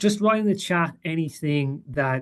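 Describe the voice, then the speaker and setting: A man with a strong Irish accent at a moderate pace. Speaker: portfolio manager. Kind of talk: webinar presentation. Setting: webinar with screen share. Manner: halting, many fillers.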